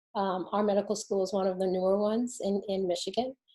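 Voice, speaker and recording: A woman speaks at a moderate pace in a New Jersey accent. Her medium-pitched, dark, mellow voice stays in a flat monotone. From New Jersey, near Newark. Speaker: physician, medical school dean. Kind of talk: panel self-introduction.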